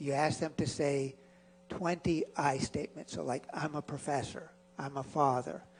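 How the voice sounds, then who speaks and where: The man's fairly high voice comes out somewhat breathy. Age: 60s. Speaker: psychology professor. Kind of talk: lecture.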